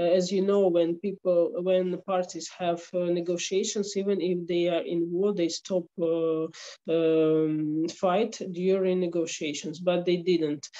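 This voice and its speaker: A woman with a Ukrainian accent speaks at a fairly slow pace with hardly any pauses, her dark, mellow tone fairly low in pitch, her intonation monotone and flat and her loudness very even against a quiet background. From Ukraine. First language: Ukrainian or Russian. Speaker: attorney at law. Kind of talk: interview. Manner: halting. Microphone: slow internet connection.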